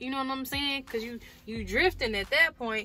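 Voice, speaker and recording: Over noticeable background noise, a woman speaks at a moderate pace in a raised, projected voice with an animated tone. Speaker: truck driver. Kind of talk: casual vlog talk. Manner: loud.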